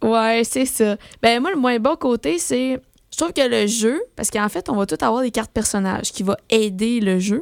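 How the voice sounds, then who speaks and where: Speaking in a Quebec accent, a woman with a fairly high pitch uses lively intonation in a dry, close sound with no echo. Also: moderate pace. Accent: Québécois French. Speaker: board game radio co-host. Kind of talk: casual radio chat.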